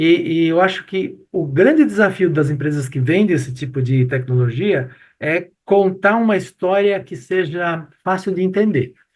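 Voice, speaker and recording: Fairly slow, lively male speech at a high pitch with hardly any pauses. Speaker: professor and retail expert. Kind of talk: casual chat.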